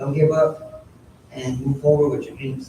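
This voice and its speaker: Speaking with a Spanish accent, a man uses a fairly high pitch and fairly even intonation. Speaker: apprentice graduate. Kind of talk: graduation speech.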